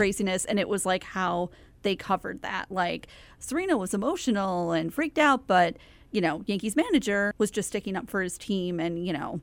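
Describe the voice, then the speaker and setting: Over a silent background in a very clean recording, a woman with an unremarkable speaking voice and medium pitch talks at a fairly quick pace with lively intonation. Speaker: podcast co-host. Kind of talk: casual chat.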